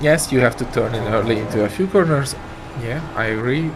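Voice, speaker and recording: Echo from the room can be heard along with noticeable background noise. The voice belongs to a man. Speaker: sim racing streamer. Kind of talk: live stream commentary.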